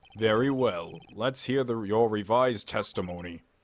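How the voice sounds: A man puts on a character voice at a medium pitch, keeping a moderate pace and ordinary pitch variation.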